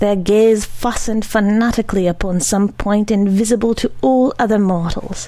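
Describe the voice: Plain reading aloud, its pitch rising and falling in a normal way.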